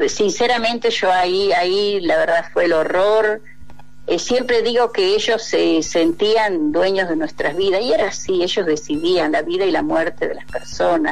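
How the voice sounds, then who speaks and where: Music plays in the background while a woman speaks at a fairly slow pace. Her voice sits at a medium pitch with ordinary pitch variation. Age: 60s. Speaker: popular educator, dictatorship torture survivor. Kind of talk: radio interview testimony. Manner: halting.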